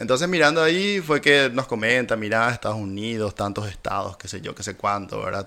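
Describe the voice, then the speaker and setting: With a Paraguayan accent, a man at medium pitch talks at a fairly quick pace with hardly any pauses, his bright, sharp tone swinging widely in loudness over a very clean recording with a silent background. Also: lively intonation. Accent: Paraguayan Spanish, voseo. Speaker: German teacher. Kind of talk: casual interview.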